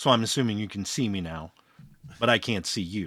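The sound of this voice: A raspy, put-on character voice runs at a fairly quick pace. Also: man.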